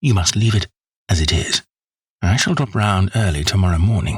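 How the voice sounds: Pitch variation here is ordinary, in a natural reading voice. Behind it, the background stays quiet.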